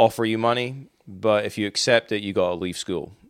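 A man with a Scottish accent. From Scotland; Inverness. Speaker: teacher. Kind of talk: casual interview chat.

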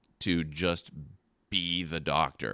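A man with a very deep, low pitch and vocal fry has a bright, sharp tone and ordinary pitch variation. The recording is very clean, with a silent background. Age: 40s. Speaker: pastor. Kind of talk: casual chat. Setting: studio.

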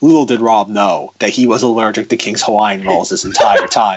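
A put-on character voice carries the delivery. It moves at a moderate pace. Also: man, medium pitch for a man. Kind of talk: dramatic narrator voice.

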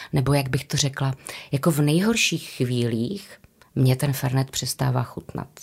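With vocal fry, a woman talks in a very deep, low register. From Moravian-Silesian region, Czechia (Karviná, Havířov). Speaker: stage actress and drama teacher. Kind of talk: casual interview.

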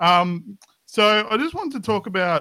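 With an Australian accent, a man talks in a bright, sharp tone and lively intonation on a very clean recording with a silent background. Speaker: caller. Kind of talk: casual chat. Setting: voice call.

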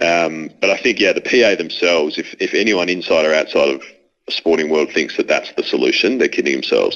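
With an Australian accent, a man talks at a fairly quick pace and keeps his loudness very even. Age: 30s. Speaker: former AFL footballer. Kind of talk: casual interview conversation. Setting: phone call from London.

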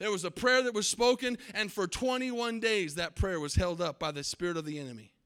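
A man with an American accent speaks in a raised, projected voice at a high pitch. His tone is bright and sharp, with lively intonation at a moderate pace. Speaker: pastor. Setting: church service with live congregation. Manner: fervent and emphatic, punchy repeated declarations; loose, self-interrupting delivery with restarts and asides.

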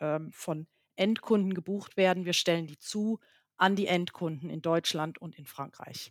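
A woman speaks at a medium pitch with fairly even intonation. The sound is dry and close, with no echo. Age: 50s. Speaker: company CEO. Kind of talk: interview. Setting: video call.

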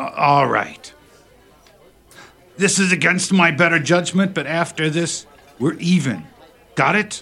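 Putting on a gruff character voice, a man speaks high-pitched and fairly slowly, with long, frequent pauses and ordinary pitch variation. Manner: gruff, irritated.

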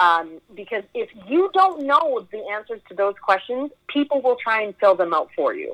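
The sound is dry and close with no echo. A woman with a high pitch speaks with very wide pitch swings and big swings in loudness. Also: moderate pace, hardly any pauses. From Edmonton, Alberta, Canada. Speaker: actor and producer. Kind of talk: casual interview chat.

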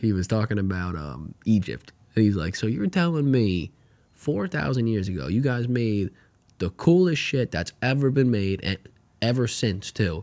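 At a moderate pace, a man with a fairly low pitch speaks with very wide pitch swings. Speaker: podcast co-host. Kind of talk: casual chat.

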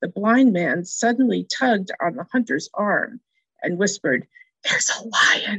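Heard against a quiet background, a natural reading voice moves with ordinary pitch variation.

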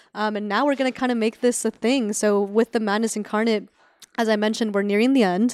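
Speaking with an American accent, a woman talks very fast at a fairly high pitch with monotone, flat intonation. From Northern California, Sacramento. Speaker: film director and writer. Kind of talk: casual interview.

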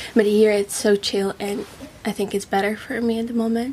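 Noticeable background noise accompanies a woman's fairly high voice. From Russia, Moscow area. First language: Russian. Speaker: musician and actress. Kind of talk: casual chat.

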